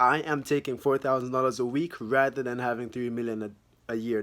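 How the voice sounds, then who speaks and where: A man speaks with a Jamaican accent. His pace is fairly quick. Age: young. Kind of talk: casual talk to camera.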